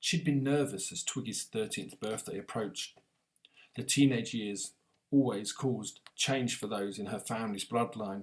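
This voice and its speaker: With a normal speaking voice, a man speaks at a moderate pace and medium pitch, using ordinary pitch variation. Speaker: author. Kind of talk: audiobook reading.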